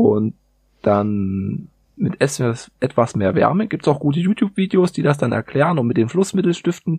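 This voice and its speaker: A man's fairly high, dark, mellow voice comes across somewhat breathy, with very wide pitch swings. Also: moderate pace, dry, close sound with no echo. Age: 30s. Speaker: metal industry worker, keyboard hobbyist. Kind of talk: casual chat.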